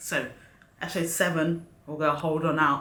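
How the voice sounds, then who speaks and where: This woman's voice sits very deep and low, with an animated tone at a moderate pace. There is audible room echo. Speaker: YouTube reaction host. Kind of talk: casual review monologue.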